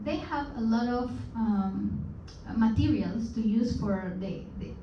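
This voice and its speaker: Amid noticeable background noise and audible room echo, a woman speaks with a Peruvian accent. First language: Spanish. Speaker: guest speaker. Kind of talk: presentation to seminar audience. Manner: halting, with frequent fillers and repetitions.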